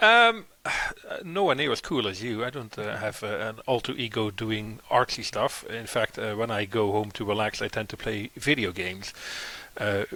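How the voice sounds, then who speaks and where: The man talks with a Dutch accent. His pace is moderate. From Netherlands, Eindhoven. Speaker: SEO consultant and podcast co-host. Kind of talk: casual chat.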